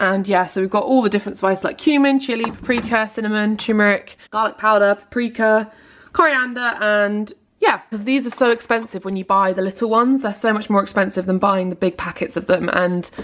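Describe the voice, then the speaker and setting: A woman with a British accent, upbeat in tone, fairly quick, medium-pitched, with ordinary pitch variation. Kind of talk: casual vlog talk to camera. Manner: chatty, upbeat.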